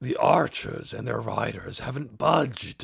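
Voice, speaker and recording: A raspy put-on character voice from a man. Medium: read story. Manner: blunt, complaining.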